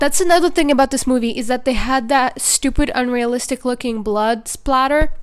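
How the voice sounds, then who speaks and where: With a non-native accent, a woman talks at a moderate pace in a high pitch, with ordinary pitch variation and hardly any pauses. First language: not English. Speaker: movie reviewer YouTuber. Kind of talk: casual video review monologue. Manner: casual, filler-heavy.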